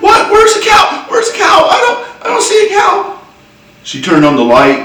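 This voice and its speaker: With an American accent, a man talks at a fairly slow pace over noticeable background noise. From Southern US. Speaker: storyteller. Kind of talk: humorous personal story told to camera. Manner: folksy, conversational.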